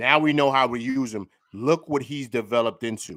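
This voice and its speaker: With a New York accent and an animated tone, a man speaks on a very clean recording with a silent background. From New York City. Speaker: sports YouTuber. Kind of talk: postgame breakdown. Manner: stutters, repeats words.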